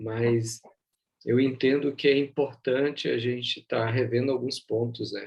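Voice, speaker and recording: A soft-spoken man talks at medium pitch. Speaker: bible teacher. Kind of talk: online bible class.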